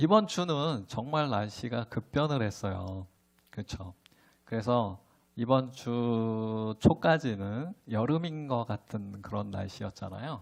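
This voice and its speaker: A man speaks very slowly at a medium pitch. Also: ordinary pitch variation. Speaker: pastor. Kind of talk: sermon.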